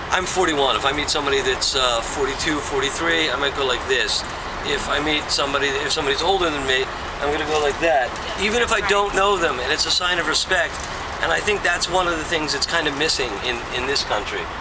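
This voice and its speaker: A man speaks fairly quickly with ordinary pitch variation while loud background noise fills the recording. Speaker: comedian filming on a train. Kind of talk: casual vlog chat. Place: train. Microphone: phone near.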